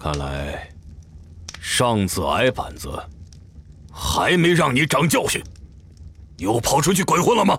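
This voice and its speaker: Over clear background noise, a man uses a put-on character voice at a fairly slow pace, with long, frequent pauses. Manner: stern, cold, menacing.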